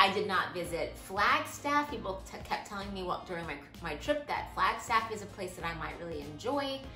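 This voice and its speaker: A woman's voice with faint music in the background and audible room echo. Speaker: van life vlogger. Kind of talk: casual vlog Q&A answer. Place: home room. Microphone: camera far.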